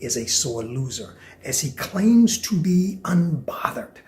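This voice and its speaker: Over noticeable background noise, a man speaks in an animated tone with very wide pitch swings. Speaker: podcast host. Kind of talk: solo commentary podcast.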